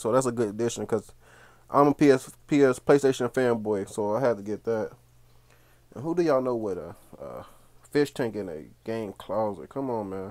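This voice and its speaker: In a quiet background, a man speaks at a moderate pace with ordinary pitch variation, big swings in loudness and long, frequent pauses. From Cincinnati, Ohio; Ohio. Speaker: gaming YouTuber. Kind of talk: room tour video. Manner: casual. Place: home room. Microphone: phone near.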